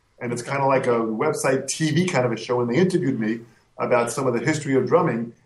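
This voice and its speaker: Audible room echo surrounds a man talking at medium pitch and a very fast pace. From US, Italian-American household. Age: 50s. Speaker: drum educator and clinician. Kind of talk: interview. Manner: animated.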